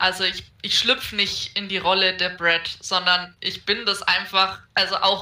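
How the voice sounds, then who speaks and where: At a fairly slow pace, a woman speaks with a medium pitch and a bright, sharp tone. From Franconia, Germany. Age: 20s. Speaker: podcast guest. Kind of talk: casual chat.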